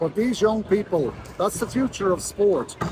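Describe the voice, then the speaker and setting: A man talks in an Irish accent with ordinary pitch variation. Noticeable background noise runs underneath. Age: 60s. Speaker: sports association president. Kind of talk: interview.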